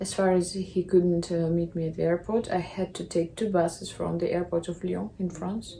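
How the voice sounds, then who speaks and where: A woman with a Russian accent speaks in a fairly low pitch with fairly even intonation. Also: moderate pace. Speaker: vlogger. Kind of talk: casual vlog monologue.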